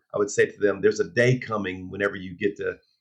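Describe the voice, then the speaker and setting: A man with a normal speaking voice at a fairly quick pace, with ordinary pitch variation. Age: 60s. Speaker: pastor. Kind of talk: interview.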